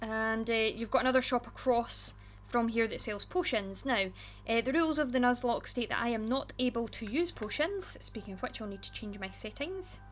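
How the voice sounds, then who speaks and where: A woman talks in a Scottish accent. Music plays in the background. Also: moderate pace. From Scotland. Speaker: gaming YouTuber. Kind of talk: casual gameplay commentary.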